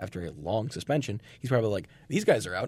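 Somewhat breathy and animated in tone, a man talks at a very fast pace with ordinary pitch variation. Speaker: radio host. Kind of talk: college radio sports talk show, casual banter. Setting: studio. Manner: animated, opinionated, conversational; quick, jokey, laughs with co-hosts.

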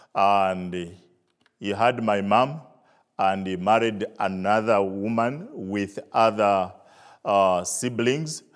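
Speaking at a very slow pace, a man with a Zambian accent has a fairly low pitch and ordinary pitch variation. The recording is very clean, with a silent background. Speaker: visiting preacher. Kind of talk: testimony and sermon. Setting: church with audience.

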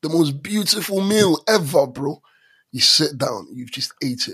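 With vocal fry and an animated tone, a man speaks at a fairly high pitch and moderate pace, his intonation lively. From London and Stranraer, Scotland. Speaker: podcast co-host. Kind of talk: casual chat.

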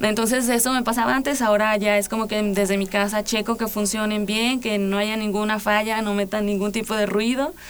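A woman's fairly high-pitched voice with fairly even intonation and hardly any pauses. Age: 20s. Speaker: musician, guitarist and singer. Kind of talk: interview. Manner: halting.

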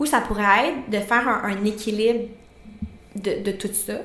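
Speaking with a Quebec accent, a woman uses a fairly high pitch and fairly even intonation, leaving long, frequent pauses. There is audible room echo and noticeable background noise. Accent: Québécois French. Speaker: nutritionist and podcast co-host. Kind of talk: casual chat.

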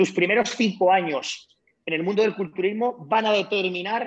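With ordinary pitch variation, a man's speech moves at a fairly slow rate. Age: 40s. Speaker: retired bodybuilder. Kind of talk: interview.

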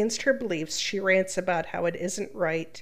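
The voice moves at a moderate pace with ordinary pitch variation. It is an ordinary speaking voice. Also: woman. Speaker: podcast co-host, reads Reddit posts. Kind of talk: casual chat with reading aloud.

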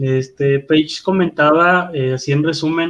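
A man is speaking. His pace is fairly slow. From Guadalupe, Nuevo León, Mexico. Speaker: wrestling podcast co-host. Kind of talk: casual chat.

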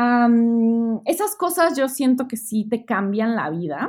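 This woman's voice is high-pitched, with lively intonation. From Mexico City. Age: 30s. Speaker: travel and education agency owner. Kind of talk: interview.

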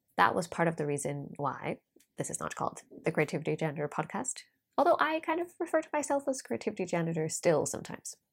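The recording is very clean, and the background is silent. In it, a woman talks at a very fast pace. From Norway. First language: Norwegian. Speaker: life coach and podcaster. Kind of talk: solo podcast monologue. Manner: chatty, frequent laughter.

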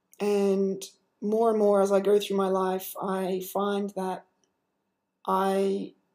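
A woman's voice sits at medium pitch with a dark, mellow tone. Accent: Australian. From Australia. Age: 20s. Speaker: podcaster and fashion model. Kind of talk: solo monologue podcast. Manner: hesitant, many filler words.

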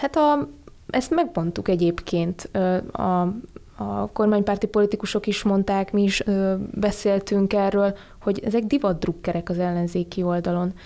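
A woman speaks with a dark, mellow tone. Her loudness stays very even. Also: medium pitch for a woman, ordinary pitch variation, fairly slow pace. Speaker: policy analyst. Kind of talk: radio discussion. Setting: studio.

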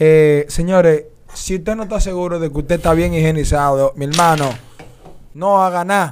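Using a plain, everyday voice, a man talks at a fairly high pitch and a moderate pace with fairly even intonation. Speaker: podcast co-host. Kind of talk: casual chat.

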